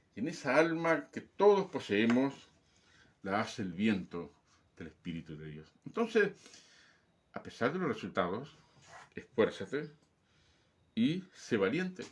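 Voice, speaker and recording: A man's fairly high voice with vocal fry at a fairly slow pace, with long, frequent pauses, very wide pitch swings and big swings in loudness. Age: 60s. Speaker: pastor. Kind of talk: sermon. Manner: emphatic, repetitive exhortation.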